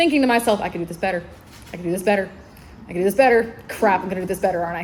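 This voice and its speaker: Lively intonation from a woman with an American accent, over noticeable background noise. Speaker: librarian. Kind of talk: convention panel talk. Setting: stage with audience.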